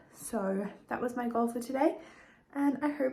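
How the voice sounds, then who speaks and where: Over noticeable background noise and audible room echo, a woman with a high pitch speaks at a moderate pace. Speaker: lifestyle vlogger. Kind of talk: casual vlog talk to camera.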